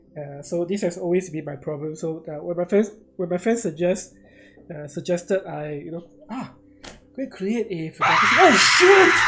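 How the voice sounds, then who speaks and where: Through noticeable background noise, the words arrive at a moderate pace. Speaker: digital artist streamer. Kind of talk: live stream tutorial chat. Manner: casual, hesitant with fillers.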